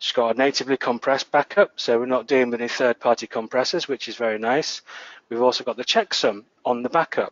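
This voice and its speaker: A man speaks at a fairly quick pace and medium pitch. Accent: northern English. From northern England. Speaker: database administrator, conference speaker. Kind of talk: tech conference talk. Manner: animated.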